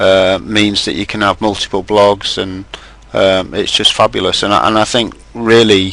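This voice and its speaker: Over noticeable background noise, a man with a fairly low pitch talks at a moderate pace and fairly even intonation. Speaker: webinar host. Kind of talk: webinar discussion. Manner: loud.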